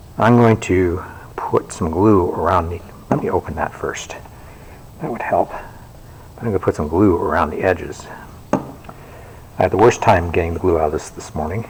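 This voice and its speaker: Speaking at a moderate pace with long, frequent pauses, a man uses a very deep, low pitch and ordinary pitch variation over noticeable background noise. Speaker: librarian. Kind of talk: tutorial. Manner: casual.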